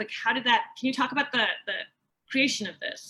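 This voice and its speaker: In an American accent, a woman uses a raised, projected voice pitched high. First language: Persian. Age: 40s. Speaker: author. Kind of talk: author conversation. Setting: video call.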